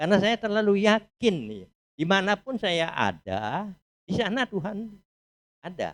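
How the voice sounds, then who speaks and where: Speaking fairly slowly in a high pitch for a man, he comes across with a dry, close sound and no echo. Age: 80s+. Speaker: church member. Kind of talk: testimony.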